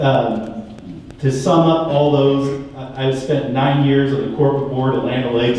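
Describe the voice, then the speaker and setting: Noticeable background noise behind a man's voice, fairly high in pitch, at a moderate pace. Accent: American. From California Central Valley, Tulare County. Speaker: political candidate, dairy farmer. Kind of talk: candidate forum speech. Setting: forum with audience, microphone. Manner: loud.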